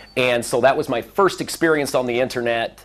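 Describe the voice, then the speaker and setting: In a Midwestern American accent, a man talks at a medium pitch with ordinary pitch variation. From US Midwest, Central Illinois. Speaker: former car dealership manager giving a speech. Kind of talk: speech to a seminar audience. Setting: seminar room with audience. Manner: deliberately slowed pace.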